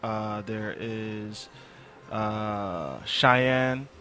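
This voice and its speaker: With music in the background, a man of medium pitch speaks with an American accent. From San Diego, California. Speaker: rapper and music engineer. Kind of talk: casual chat.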